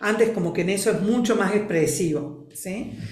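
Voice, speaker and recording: A woman talks at a medium pitch with lively intonation, and the room echo is audible. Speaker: family constellations facilitator. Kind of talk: interview. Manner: expressive.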